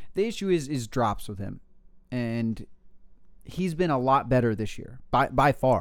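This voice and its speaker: A man speaks at medium pitch with lively intonation. Long pauses come often. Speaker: fantasy football podcast host. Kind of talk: casual banter about fantasy football. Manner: excitable, enthusiastic.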